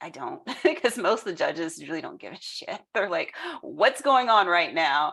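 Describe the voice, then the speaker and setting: A woman speaks with a bright, sharp tone. Her pitch swings very widely, and her loudness shifts a lot. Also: medium pitch for a woman. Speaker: family law attorney. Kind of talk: tutorial. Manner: fast; casual, filler-heavy.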